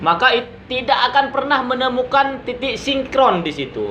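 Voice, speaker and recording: A man speaks in a raised, projected voice at an extremely high pitch, with lively intonation at a moderate pace. There is audible room echo and noticeable background noise. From Madura, Indonesia. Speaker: YouTube commentator. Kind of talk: critical monologue.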